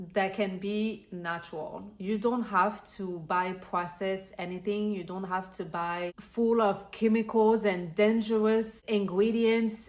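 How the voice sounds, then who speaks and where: Speaking with a French accent, a woman uses a medium pitch with ordinary pitch variation. She goes at a very slow pace. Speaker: lifestyle vlogger. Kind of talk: casual vlog talk.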